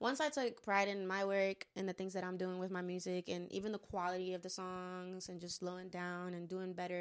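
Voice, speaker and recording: A normal speaking voice, a woman talks at medium pitch and a moderate pace. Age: late 20s. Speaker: podcast host and musician, military veteran. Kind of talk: casual chat.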